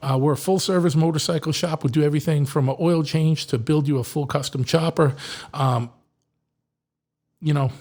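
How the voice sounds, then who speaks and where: Somewhat breathy and fairly high-pitched, a man with a Boston accent speaks at a moderate pace with fairly even intonation. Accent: Boston-area Massachusetts. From Massachusetts. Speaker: podcast host and motorcycle shop owner. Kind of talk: sponsor reads in a casual podcast. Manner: halting, lots of fillers.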